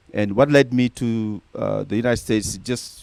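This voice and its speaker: A man with a strong Senegalese accent, fairly even intonation, and a dry, close sound with no echo. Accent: thick Senegalese. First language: Senegalese native language, also French. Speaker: nonprofit founder. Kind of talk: interview.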